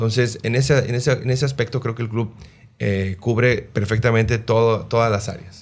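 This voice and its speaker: Somewhat breathy, a man speaks with monotone, flat intonation. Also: moderate pace. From Mexico, Sinaloa (Los Mochis); Sinaloa, Mexico. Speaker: retired football goalkeeper, goalkeeping coach; goalkeeping coach. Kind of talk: interview. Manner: halting, many repeated words. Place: studio. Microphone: studio mic.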